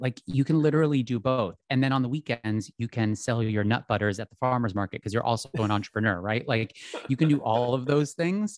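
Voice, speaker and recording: In an American accent, a man uses a normal speaking voice at medium pitch and a fairly quick pace, with ordinary pitch variation. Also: dry, close sound with no echo. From US Northeast, outside Philadelphia. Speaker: fashion and lifestyle influencer. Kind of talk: casual interview chat.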